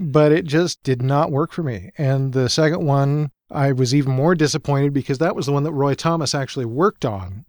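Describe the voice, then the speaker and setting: Heard on a very clean recording with a silent background and a dry, close sound with no echo, a man with a normal speaking voice talks at a fairly quick pace with hardly any pauses, his fairly high pitch showing ordinary variation. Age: 50s. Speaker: comics columnist and pulp author. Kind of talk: casual chat.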